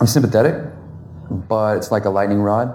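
A man speaks with an American accent and fairly even intonation. Audible room echo and noticeable background noise are present. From US South. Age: 20s. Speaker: law student and firearms advocate. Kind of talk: interview.

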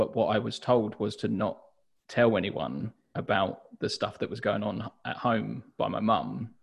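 A man with a southern English accent talks at a fairly slow pace. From southern England, Hastings. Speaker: journal brand founder and designer. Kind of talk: interview.

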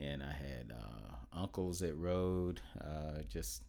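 This voice has an American accent and ordinary pitch variation. Vocal fry runs through it. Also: man. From Oklahoma. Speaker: retired Coast Guard veteran, dealership employee. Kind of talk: casual chat.

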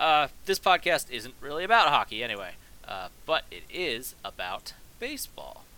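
A man with a bright, sharp tone and fairly high pitch talks at a moderate pace, his voice showing vocal fry, very wide pitch swings and big swings in loudness. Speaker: podcast host. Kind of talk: casual solo commentary. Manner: hesitant, many fillers.

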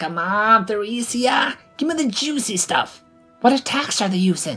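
In a put-on character voice, a woman speaks fairly slowly at a fairly high pitch, her bright, sharp tone carrying a slightly husky edge and lively intonation over faint music in the background.

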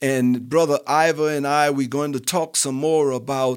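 Speaking in a New Orleans accent at a fairly slow pace, a man with a fairly high pitch shows ordinary pitch variation in a very clean recording with a silent background. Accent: New Orleans Southern US. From US South, New Orleans. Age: 60s. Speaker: retired industrial supervisor. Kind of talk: casual chat.

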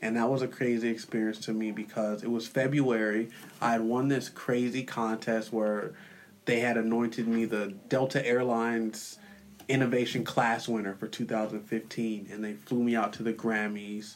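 The delivery comes at a moderate pace in a monotone, flat intonation. Noticeable background noise sits behind it. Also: man, medium pitch for a man. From San Diego, California. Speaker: hip hop artist and community leader. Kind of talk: interview conversation.

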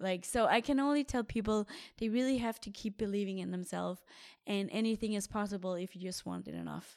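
A woman at a medium pitch, ordinary pitch variation and a fairly quick pace, in a very clean recording with a silent background. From Denmark. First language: Danish. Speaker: professional triathlete. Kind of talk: casual interview.

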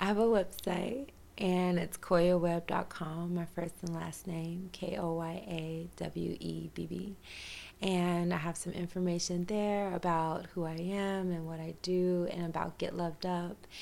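A woman with a Tennessee accent speaks fairly slowly in a fairly low pitch. Her intonation is monotone and flat. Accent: Southern US (Tennessee). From US South, rural west Tennessee. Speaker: holistic health coach and yoga teacher. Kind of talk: casual interview.

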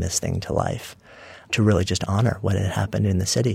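A man with an American accent speaks in a very deep, low, somewhat breathy voice with ordinary pitch variation. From New York (Long Island suburb). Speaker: author and entrepreneur. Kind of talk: interview conversation.

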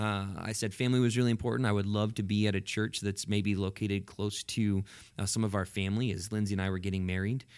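Very fast speech in an American accent with monotone, flat intonation, on a very clean recording over a silent background. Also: man, fairly low pitch for a man. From central Washington State, US. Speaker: pastor of a large church. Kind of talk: casual chat.

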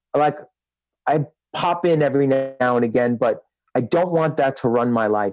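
A man with a New York accent speaks at a moderate pace, his pitch varying in an ordinary way. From Brooklyn, New York. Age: 40s. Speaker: rock guitarist and music producer. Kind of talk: casual chat.

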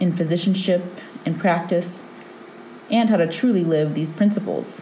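Amid noticeable background noise and audible room echo, the speaker talks at a moderate pace with ordinary pitch variation. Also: woman. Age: 30s. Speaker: osteopathic physician and podcast host. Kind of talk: solo monologue podcast.

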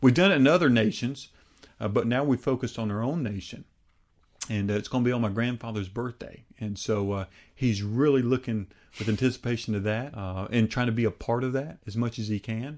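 An ordinary speaking voice, a man at medium pitch with an American accent. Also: ordinary pitch variation, fairly quick pace, quiet background. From US. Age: 30s. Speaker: evangelist preacher. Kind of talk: interview. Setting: studio.

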